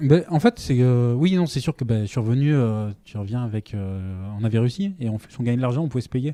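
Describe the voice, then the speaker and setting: A man's medium-pitched voice, dark and mellow in tone, with lively intonation at a fairly quick pace. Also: dry, close sound with no echo. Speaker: startup founder. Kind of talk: casual interview. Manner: hesitant, many fillers.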